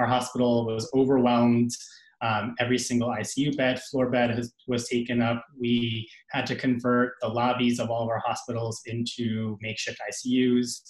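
A man speaks in monotone, flat intonation. There is audible room echo over a quiet background. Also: moderate pace. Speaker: pediatric resident doctor; panelist. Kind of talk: panel discussion. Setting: video call. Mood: earnest, reflective. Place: home room. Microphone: webcam.

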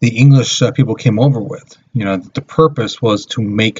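The man's somewhat airy voice rises and falls with ordinary pitch variation. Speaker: teacher. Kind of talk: lecture. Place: home room. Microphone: webcam.

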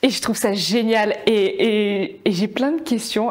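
Fairly high in pitch, a woman speaks at a fairly slow pace. The background is quiet. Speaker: podcast host, marketing content creator. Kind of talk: casual interview. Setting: studio with camera. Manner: animated, emotional. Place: home room. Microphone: lapel.

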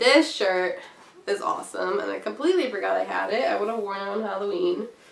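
A woman talking at a fairly quick pace amid audible room echo. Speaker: cross stitch vlogger. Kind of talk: casual chat. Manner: animated.

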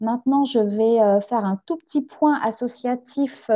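A woman speaks at a fairly slow pace in a fairly high pitch. Her intonation is fairly even, and the background is quiet. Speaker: project officer moderating a webinar. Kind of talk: webinar moderation. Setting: video call. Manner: hesitant, many fillers. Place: home room. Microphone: video call.

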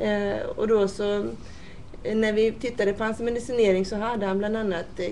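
In a plain, everyday voice, a woman speaks at a moderate pace with fairly high pitch. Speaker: nurse. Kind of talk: interview.

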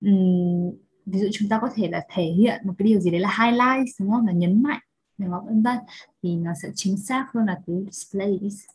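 Somewhat breathy, a woman speaks at a moderate pace with a medium pitch and ordinary pitch variation. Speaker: English teacher. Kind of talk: lecture. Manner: animated.

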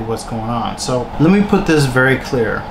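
A man talks at a moderate pace. There is noticeable background noise. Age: 30s. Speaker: YouTuber. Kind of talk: vlog rant. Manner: animated. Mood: annoyed but measured. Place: home room.

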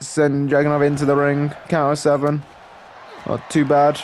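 Noticeable background noise sits behind a man speaking in a fairly high pitch. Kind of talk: wrestling commentary over game footage, play-by-play with casual banter. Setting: gameplay video, solo narration.

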